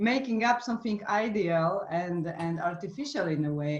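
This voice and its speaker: With a non-native accent, a woman speaks at a moderate pace and medium pitch, her intonation lively. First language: not English. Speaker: voice and trauma coach. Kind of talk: casual chat. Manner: halting.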